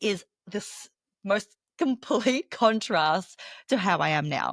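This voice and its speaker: A woman speaks with an Australian accent. The sound is dry and close with no echo, on a very clean recording with a silent background. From Australia, Melbourne. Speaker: professional speaker and business coach. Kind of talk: podcast interview.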